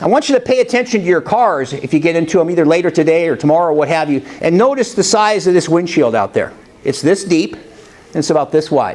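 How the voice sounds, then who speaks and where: A man talks loudly at a very fast pace, his pitch high and his intonation lively. Noticeable background noise is present. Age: 60s. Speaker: motivational speaker. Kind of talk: motivational talk. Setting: college classroom with audience, no microphone.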